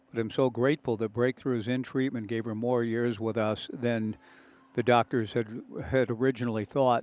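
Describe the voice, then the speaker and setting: At a moderate pace, a man speaks at medium pitch with a Pacific Northwest accent. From Oregon, US Pacific Northwest. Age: 60s. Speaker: baseball play-by-play broadcaster. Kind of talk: live sports commentary. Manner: reflective, emotional.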